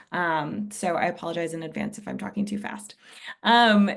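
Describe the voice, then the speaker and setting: With a quiet background, a woman talks at a moderate pace and ordinary pitch variation. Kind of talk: webinar presentation. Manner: hesitant with frequent um fillers.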